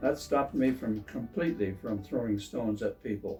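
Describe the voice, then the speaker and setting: Music plays in the background as a man with an American accent talks at a moderate pace. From Pennsylvania, USA. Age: 80s+. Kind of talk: reading his own memoir aloud.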